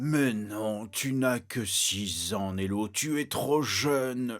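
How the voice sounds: Over light background noise, a man at medium pitch uses a cartoonish character voice at a very slow pace.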